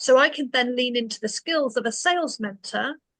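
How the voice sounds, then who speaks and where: A woman with a British accent speaks at a high pitch in a bright, sharp tone, the sound dry and close with no echo. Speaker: business coach. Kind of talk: webinar presentation.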